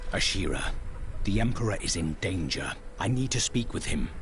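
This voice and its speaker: Against loud background noise, a man puts on a character voice at a medium pitch and moderate pace. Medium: game stream. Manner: terse, solemn.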